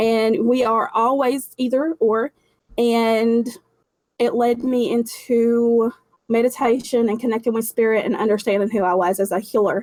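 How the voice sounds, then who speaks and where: At a moderate pace, a woman speaks with fairly even intonation and a fairly high pitch. Her loudness stays very even. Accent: Appalachian. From Appalachia, southwest Virginia. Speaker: intuitive healer, paranormal investigator. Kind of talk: interview answer. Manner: casual, candid.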